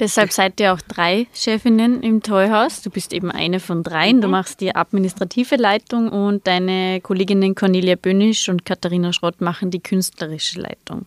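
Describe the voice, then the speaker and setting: A plain, everyday voice from a woman at a medium pitch, moderate pace and fairly even intonation, with hardly any pauses, on a very clean recording with a silent background. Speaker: podcast host. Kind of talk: casual interview.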